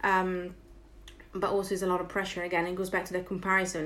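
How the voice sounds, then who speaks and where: In a room with audible echo, a woman speaks at a very fast pace and a medium pitch. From Italy. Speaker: entrepreneur and author. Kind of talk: casual interview. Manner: animated.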